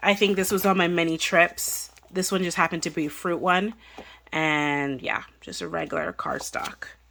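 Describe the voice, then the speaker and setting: Ordinary pitch variation runs through a bright, sharp tone. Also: woman, fairly low pitch for a woman, moderate pace. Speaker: craft YouTuber. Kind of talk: tutorial. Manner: casual, lots of fillers.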